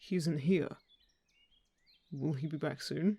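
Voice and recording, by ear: In a put-on character voice, a man speaks slowly at a fairly high pitch with ordinary pitch variation, a dark, mellow tone, a slightly husky edge and vocal fry, on a very clean recording with a silent background.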